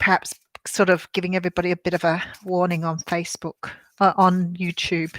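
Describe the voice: A woman's husky, fairly low voice with a fairly bright tone and an Australian accent, fairly slow in pace, in a dry, close sound with no echo.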